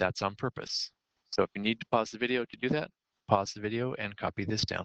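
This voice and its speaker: In a normal speaking voice, a man of medium pitch talks at a fairly quick pace with fairly even intonation and big swings in loudness, recorded dry and close with no echo. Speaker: math teacher. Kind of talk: lecture.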